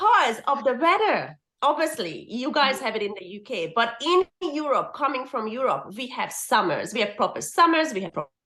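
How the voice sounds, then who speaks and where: A woman uses a raised, projected voice at a high pitch, moving at a moderate pace. Her pitch swings very widely and her loudness rises and falls sharply. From Hungary. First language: Hungarian. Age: 40s. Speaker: permanent makeup artist and teacher. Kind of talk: casual interview chat.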